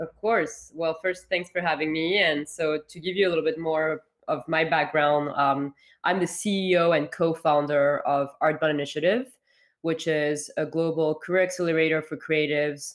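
Over a quiet background, a woman with a French accent speaks at a moderate pace in a very deep, low voice with fairly even intonation. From France, Paris. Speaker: founder and CEO of an internship program. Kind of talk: interview. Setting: remote call.

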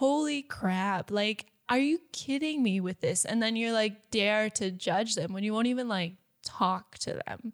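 A woman with an American accent and an ordinary speaking voice talks at a fairly slow pace with a fairly high pitch and ordinary pitch variation, recorded very cleanly in a dry, close sound with no echo and a silent background. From United States. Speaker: podcast co-host. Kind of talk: casual chat.

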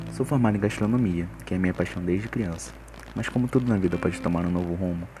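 With noticeable background noise behind him, a man speaks very fast in a very deep, low voice that makes very wide pitch swings. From Rio de Janeiro, west zone. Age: 20s. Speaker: university student. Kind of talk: scripted narration.

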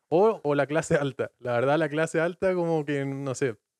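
With an ordinary speaking voice, a man talks at a fairly high pitch and moderate pace with ordinary pitch variation, in a dry, close sound with no echo. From Chile, Patagonia (Puerto Natales). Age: 20s. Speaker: podcast guest. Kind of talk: casual chat.

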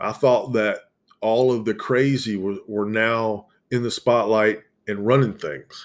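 Over a very clean recording with a silent background, a man with a Southern US accent speaks at a fairly slow pace, medium pitch, and fairly even intonation. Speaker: podcast host. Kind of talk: casual solo monologue, profane. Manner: casual, relaxed, expressive.

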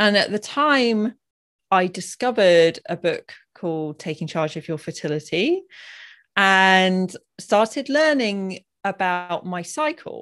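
Talking at a fairly slow pace with lively intonation, a woman with a medium-pitched voice and an unremarkable speaking voice is heard over a quiet background. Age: 40s. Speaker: hormone health author and doula. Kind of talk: casual interview chat. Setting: video call.

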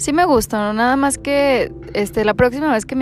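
A plain, everyday voice moves at a fairly quick pace, its pitch varying in an ordinary way. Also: woman. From Mexico, Durango. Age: 20s. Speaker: psychologist. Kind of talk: casual chat.

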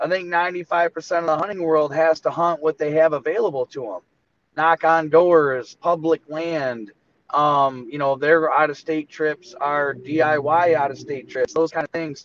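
An unremarkable speaking voice from a man with an American accent, fairly high in pitch, with fairly even intonation at a fairly slow pace, in a dry, close sound with no echo. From Michigan. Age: 30s. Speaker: deer hunter. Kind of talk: casual interview.

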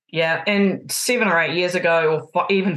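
In a New Zealand accent, a woman with a fairly low pitch speaks at a moderate pace against a quiet background. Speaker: basketball coach and sports therapist. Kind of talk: casual interview. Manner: loud, emotive; direct.

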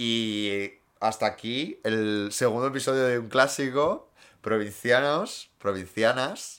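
A man talks very slowly at a medium pitch. His pitch varies in an ordinary way. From Asturias, Spain (Gijón). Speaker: podcast co-host. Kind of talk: casual chat.

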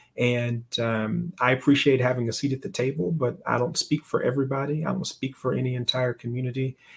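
Somewhat breathy, a man with an American accent speaks at a fairly quick pace. His intonation stays fairly even, with hardly any pauses. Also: medium pitch for a man. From US South, Alabama. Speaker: entrepreneur and investor. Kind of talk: interview conversation.

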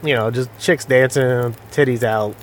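Noticeable background noise sits behind a man's voice. He keeps a moderate pace and fairly even intonation. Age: 40s. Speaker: gaming streamer. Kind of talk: casual gameplay commentary. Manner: casual, filler-heavy and profane.

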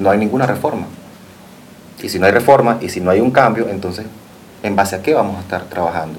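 With noticeable background noise and audible room echo, a man speaks at a very fast pace in a fairly low pitch with ordinary pitch variation. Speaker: fashion designer. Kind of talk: TV interview.

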